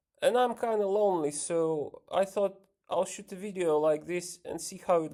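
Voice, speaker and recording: A man's dark, mellow, high-pitched voice in a Ukrainian accent, with ordinary pitch variation, at a fairly slow pace. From Ukraine. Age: 30s. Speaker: vlogger and musician. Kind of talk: casual vlog monologue. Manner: hesitant, many fillers.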